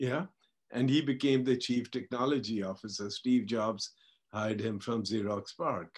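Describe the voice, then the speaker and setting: This man speaks with a Punjabi accent at medium pitch. His pitch varies in an ordinary way. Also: moderate pace. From India. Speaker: tech industry pioneer. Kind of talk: interview. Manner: halting, many repetitions.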